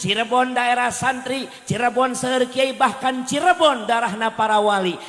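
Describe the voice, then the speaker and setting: With a Bogor accent, a man speaks at a moderate pace amid noticeable background noise. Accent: Sundanese (Bogor). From West Java, Bogor. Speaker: Islamic preacher. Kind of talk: comedic sermon.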